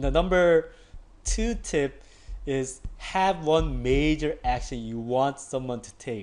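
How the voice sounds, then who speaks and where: Over music in the background, the speaker talks at a very slow pace with ordinary pitch variation. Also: man. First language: not English. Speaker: online marketing tutor. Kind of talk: tutorial. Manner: casual, filler-heavy with frequent 'like'; halting with repetitions.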